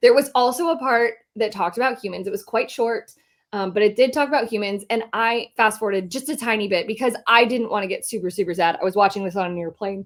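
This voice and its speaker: This raspy, put-on character voice races along at a very fast pace with ordinary pitch variation. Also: woman, fairly high pitch for a woman. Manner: talking too fast.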